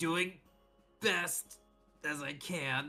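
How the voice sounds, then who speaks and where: Faint music plays in the background. Someone uses a put-on character voice at a low-to-middle pitch. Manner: muttered through gritted teeth.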